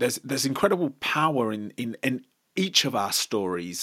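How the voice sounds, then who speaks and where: A man's normal speaking voice at a moderate pace, lively intonation, very clean recording with a silent background. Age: 30s. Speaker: abuse awareness advocate. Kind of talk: interview.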